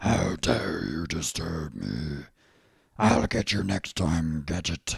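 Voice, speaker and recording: A man's put-on character voice, very deep and low in pitch, at a very slow pace. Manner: menacing, imperious.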